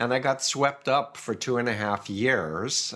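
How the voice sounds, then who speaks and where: At a fairly slow pace, a man with an American accent talks in a normal speaking voice at medium pitch. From New York, US. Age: 60s. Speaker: cult expert and author. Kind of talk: interview.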